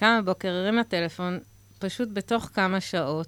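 Her voice, a woman's, rests at a medium pitch with ordinary pitch variation. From Israel, Haredi community. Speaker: social entrepreneur. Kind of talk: radio interview. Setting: radio studio, wearing masks. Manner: halting.

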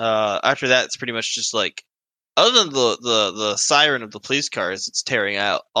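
The background here is quiet. A natural voice reads a text aloud.

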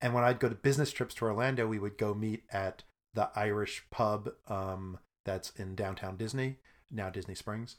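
Speaking at a moderate pace, a man with an American accent has a fairly low pitch and fairly even intonation, an unremarkable speaking voice. The recording is very clean with a silent background. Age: 50s. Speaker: improv comedian. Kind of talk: casual chat.

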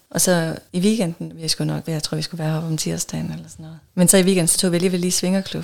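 Speaking at a very fast pace, a woman leaves hardly any pauses. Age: 40s. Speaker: podcast guest in an open relationship. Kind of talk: casual interview.

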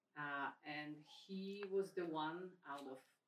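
In a Polish accent, a woman speaks with a very deep, low pitch and fairly even intonation. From Poland. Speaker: parish member and mother. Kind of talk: personal testimony in group meeting.

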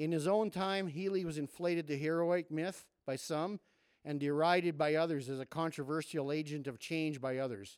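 An unremarkable speaking voice comes from a man with a fairly high pitch and ordinary pitch variation. He speaks at a moderate pace on a very clean recording with a silent background. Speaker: podcast host. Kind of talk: podcast hosting and introducing authors.

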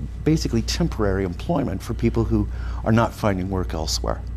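With audible room echo and noticeable background noise, a man talks in an American accent. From US West Coast, San Francisco Bay Area. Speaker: real estate research executive. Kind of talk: radio interview. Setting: studio.

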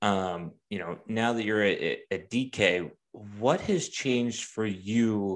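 A man's fairly low voice with ordinary pitch variation, a normal speaking voice. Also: very clean recording, silent background. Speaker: podcast host and former sportswriter. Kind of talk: casual interview chat.

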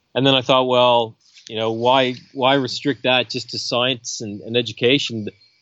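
In a slight Canadian accent, a man talks at a medium pitch with monotone, flat intonation. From Canada. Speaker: coastal scientist and professor. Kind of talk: casual interview. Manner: relaxed, hesitant with fillers.

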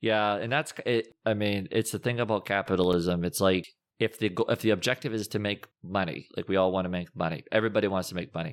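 Over a very clean recording with a silent background, a man with an American accent races along very fast with hardly any pauses and ordinary pitch variation. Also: fairly low pitch for a man. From Massachusetts. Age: 40s. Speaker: finance and lending expert. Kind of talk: casual interview.

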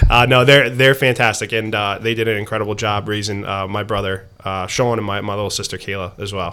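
A man with an American accent and a fairly low pitch speaks over noticeable background noise. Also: fairly quick pace. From US Northeast, New Jersey. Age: 30s. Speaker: town council candidate. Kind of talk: casual chat. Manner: animated.

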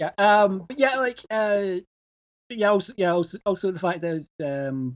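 A man with a Glasgow accent talks at a fairly slow pace in a high pitch with lively intonation. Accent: Scottish (Glaswegian). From Glasgow, Scotland. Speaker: podcaster and movie fan. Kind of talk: casual chat.

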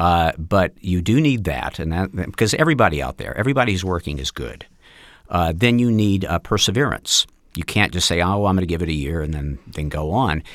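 A man with an American accent, very deep, low pitch, lively intonation, and a fairly quick pace, in a very clean recording with a silent background. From US South, Mississippi. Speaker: actor and acting coach. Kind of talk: interview. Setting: studio. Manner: halting, many fillers.

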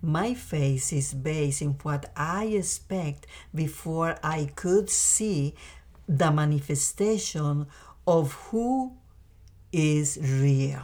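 With a Spanish accent, a woman speaks at a very slow pace in a very deep, low pitch, her dark, mellow tone somewhat breathy. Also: lively intonation. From Costa Rica. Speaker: mother of the host. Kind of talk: testimony. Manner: halting.

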